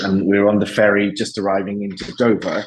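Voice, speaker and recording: A man with a Welsh accent, fairly low in pitch, at a fairly quick pace. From Wales. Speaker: business executive and university lecturer. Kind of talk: interview conversation.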